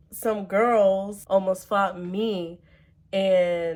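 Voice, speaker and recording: The voice belongs to a woman. She keeps her intonation fairly even. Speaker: vlogger, college student. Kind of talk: storytime vlog. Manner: casual, chatty.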